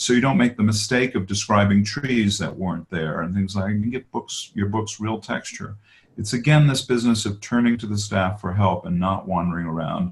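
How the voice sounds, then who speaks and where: Fairly low-pitched, somewhat breathy male speech at a fairly quick pace, with ordinary pitch variation. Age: 60s. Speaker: author and biographer. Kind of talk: interview on a webinar. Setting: webinar.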